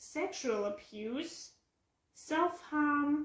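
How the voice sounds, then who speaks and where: Speaking with a German accent, a woman uses ordinary pitch variation. Her pace is very slow. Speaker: book vlogger. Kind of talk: casual vlog review. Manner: halting.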